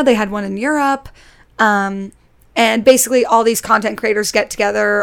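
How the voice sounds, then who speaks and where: With an American accent, a woman has a normal speaking voice, a fairly high pitch, ordinary pitch variation and a fairly quick pace. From Connecticut, US. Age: 20s. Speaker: YouTuber and drama student. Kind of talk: casual chat.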